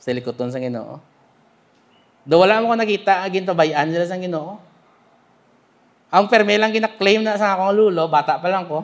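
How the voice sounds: Speaking at a moderate pace with long, frequent pauses, a man uses a high pitch and ordinary pitch variation.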